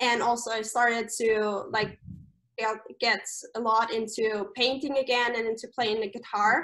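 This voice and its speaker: The voice has a bright, sharp tone, a moderate pace and fairly even intonation. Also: woman, fairly high pitch for a woman. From Austria. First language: German. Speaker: camp staff member. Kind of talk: casual interview.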